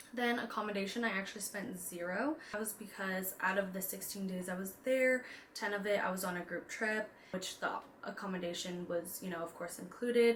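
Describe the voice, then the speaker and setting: Amid noticeable background noise, a woman speaks at a fairly quick pace and medium pitch with ordinary pitch variation. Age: 20s. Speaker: personal finance and lifestyle vlogger. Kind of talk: casual vlog talk. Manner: casual with fillers.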